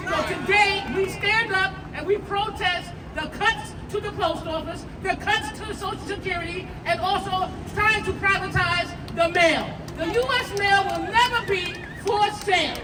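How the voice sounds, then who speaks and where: Loud and extremely high in pitch, a woman speaks at a fairly slow pace with fairly even intonation. Audible room echo and crowd noise fill the background. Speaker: union local president. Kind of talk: rally speech. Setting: outdoor rally with crowd.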